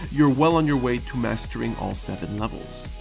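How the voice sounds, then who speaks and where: With music in the background, the speech moves at a fairly quick pace. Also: man. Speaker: gaming YouTuber. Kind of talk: game tutorial narration. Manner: casual, conversational.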